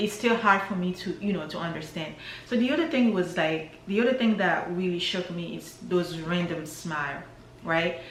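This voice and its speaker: A woman with an African accent and a fairly low pitch speaks amid noticeable background noise and audible room echo. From DR Congo, Kinshasa. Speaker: vlogger. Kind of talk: casual vlog monologue.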